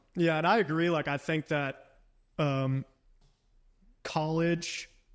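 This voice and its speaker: Very slowly, a man speaks at a fairly high pitch with fairly even intonation. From rural upstate New York. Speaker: entrepreneur. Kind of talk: casual chat. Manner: many fillers, um and like.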